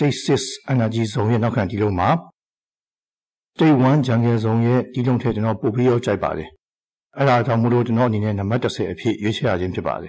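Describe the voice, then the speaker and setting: A man talks with a plain, everyday voice at a medium pitch, with ordinary pitch variation and big swings in loudness. The recording is very clean, with a silent background. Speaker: video game hobbyist. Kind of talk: scripted narration. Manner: formal.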